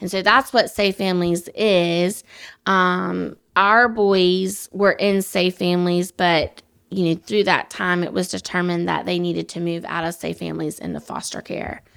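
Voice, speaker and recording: On a very clean recording with a silent background, a woman speaks at medium pitch and a moderate pace with monotone, flat intonation. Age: 30s. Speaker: foster and adoptive mother. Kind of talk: casual interview.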